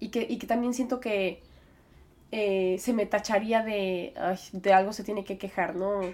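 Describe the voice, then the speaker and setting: A woman talks at a moderate pace in a normal speaking voice. Her pitch varies in an ordinary way. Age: 20s. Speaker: podcast host. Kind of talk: personal reflection monologue.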